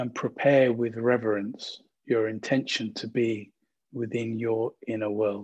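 The tone is soothing and gentle, with monotone, flat intonation. The pace is fairly slow. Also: man, medium pitch for a man. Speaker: meditation guide. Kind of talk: guided meditation. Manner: slow, gentle, calm; soothing, soft-spoken, with long pauses.

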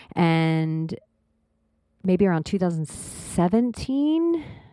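The recording is very clean, with a silent background. A woman speaks very slowly at a fairly low pitch. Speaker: podcast host. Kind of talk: casual chat.

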